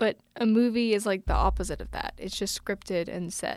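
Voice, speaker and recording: In a dry, close recording with no echo, a woman speaks at a moderate pace in a medium pitch. She has a plain, everyday voice with ordinary pitch variation, on a very clean recording with a silent background. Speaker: podcast host. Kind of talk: casual chat.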